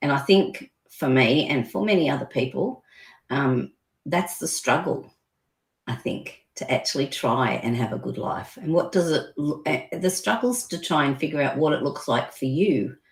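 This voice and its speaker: A woman's very deep, low, somewhat breathy voice at a moderate pace, with lively intonation in a very clean recording with a silent background. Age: 60s. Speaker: business owner and health consultant. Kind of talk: interview.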